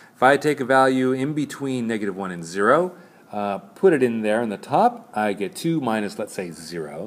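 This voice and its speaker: A man at medium pitch talks with very wide pitch swings and big swings in loudness. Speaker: math teacher. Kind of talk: tutorial. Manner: fast; hesitant, many fillers.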